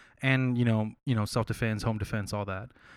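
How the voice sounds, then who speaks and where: In a very clean recording with a silent background, a man with an American accent talks with fairly even intonation. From Texas, San Marcos. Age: 20s. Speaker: tech engineer. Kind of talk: casual chat.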